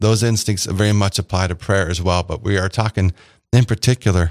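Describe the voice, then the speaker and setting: Recorded very cleanly with a silent background and a dry, close sound with no echo, a man talks at a fairly quick pace in a fairly low pitch, an unremarkable speaking voice. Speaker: radio host. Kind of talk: radio show conversation. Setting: radio studio. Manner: warm, friendly, conversational.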